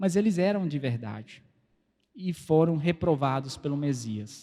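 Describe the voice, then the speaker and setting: This man has a non-native accent. His intonation is lively. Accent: foreign, non-native Portuguese. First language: Spanish (speaking Portuguese). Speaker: preacher. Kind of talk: sermon. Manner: halting.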